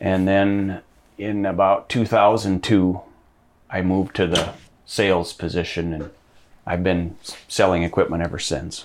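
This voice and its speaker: Speaking with an Upper Midwest accent, a man with a very deep, low voice talks at a fairly slow pace, his intonation fairly even and his pauses long and frequent, on a very clean recording with a silent background. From Minnesota. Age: 40s. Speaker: farm equipment dealer. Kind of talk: interview. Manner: halting.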